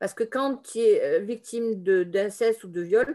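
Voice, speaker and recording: Her tone is dark and mellow. The woman's pitch sits fairly high. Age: 50s. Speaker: therapist. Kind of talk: testimony. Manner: halting.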